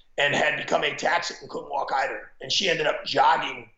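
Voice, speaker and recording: Audible room echo fills the recording. A man's speech moves at a fairly quick pace. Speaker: former football coach. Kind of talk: interview storytelling.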